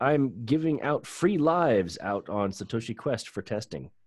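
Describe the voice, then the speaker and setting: Against a quiet background, a man with a normal speaking voice talks at a fairly slow pace with lively intonation. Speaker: podcast host. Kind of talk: casual chat.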